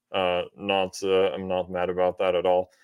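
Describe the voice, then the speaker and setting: A man with an Austrian accent at a fairly slow pace. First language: German. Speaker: business coach and marketer. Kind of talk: podcast interview.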